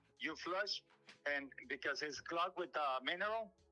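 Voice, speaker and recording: A loud man's voice with a bright, sharp tone and ordinary pitch variation. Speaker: homeowner selling house. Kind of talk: phone sales call. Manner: halting.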